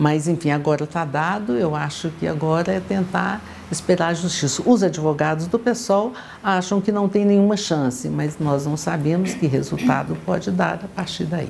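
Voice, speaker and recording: Noticeable background noise sits behind a woman whose very deep, low voice carries lively intonation at a moderate pace. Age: 70s. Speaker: politician, gubernatorial candidate. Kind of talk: political interview.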